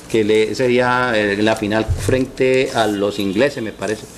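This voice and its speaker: The speaker is a man. Pitch shifts normally across his speech. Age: 60s. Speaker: sports radio host. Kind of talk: interview. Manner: halting.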